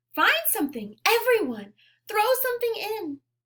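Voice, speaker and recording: A woman does a squeaky, put-on character voice at an extremely high pitch. She speaks at a moderate pace. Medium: read story.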